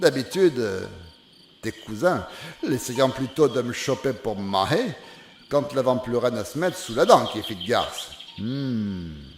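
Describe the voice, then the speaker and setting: A man at medium pitch talks at a very slow pace with long, frequent pauses and lively intonation over noticeable background noise. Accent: Charente. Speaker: storyteller. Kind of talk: folk fable telling in dialect. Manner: homely, conversational.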